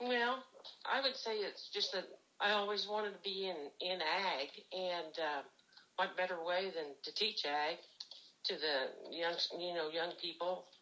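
Speaking with an American accent, a woman uses a medium pitch and ordinary pitch variation. She goes at a fairly slow pace with long, frequent pauses. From Missouri (Jamesport, rural northern Missouri). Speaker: retired agriculture teacher. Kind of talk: interview.

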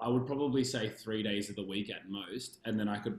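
Speaking rather briskly, a man keeps his intonation flat and monotone. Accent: Australian. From Australia, Canberra (ACT). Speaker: dance studio owner. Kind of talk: interview.

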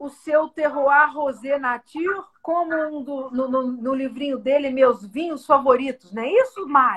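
At a very slow pace, a woman speaks in a high voice with ordinary pitch variation. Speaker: podcast host. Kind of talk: casual interview.

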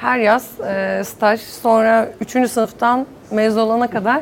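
With a normal speaking voice, a woman talks at a fairly high pitch and fairly even intonation. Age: 30s. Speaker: entrepreneur. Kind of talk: panel discussion.

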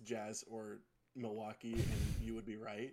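A man talks with an American accent at a medium pitch. Vocal fry runs through his voice. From Utah, South Jordan. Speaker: podcast co-host, basketball analyst. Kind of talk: casual sports chat.

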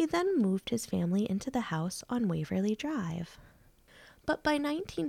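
Captured as a very clean recording against a silent background, the talking proceeds at a moderate speed. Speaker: podcast narrator. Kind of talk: true-crime narration, scripted and read aloud. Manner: grave, measured, somber; steady, formal storytelling pace.

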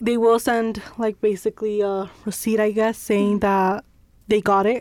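The sound is dry and close, with no echo. A woman speaks with an American accent in a monotone, flat intonation. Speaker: university student. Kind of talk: casual chat.

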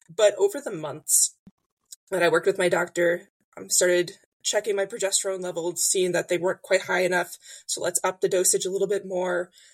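With an American accent, a woman talks at a medium pitch in a plain, everyday voice with fairly even intonation. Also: fairly quick pace. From US Midwest, Illinois. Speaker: magazine editor. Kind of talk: interview.

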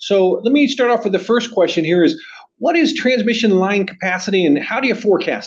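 A man speaks fairly quickly with an American accent. His pitch sits high. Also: lively intonation. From Southern California. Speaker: podcast host, engineering exam prep. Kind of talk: interview.

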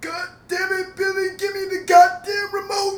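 Extremely high-pitched, the put-on character voice moves at a moderate pace with monotone, flat intonation. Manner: angry, cussing.

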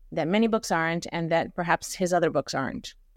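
In a very clean recording with a silent background, a woman with an American accent uses an ordinary speaking voice, fairly low in pitch with ordinary pitch variation, at a fairly quick pace. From India (Bombay) and New Jersey. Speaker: poet. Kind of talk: casual chat.

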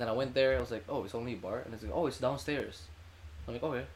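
This man's voice carries vocal fry along with lively intonation. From Indonesia, Jakarta. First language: Indonesian. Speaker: university student. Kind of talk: casual chat.

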